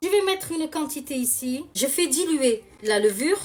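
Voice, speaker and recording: With music in the background, a woman speaks loudly and fairly slowly in a high pitch, with lively intonation and an animated tone. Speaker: cooking video host. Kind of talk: cooking tutorial, live.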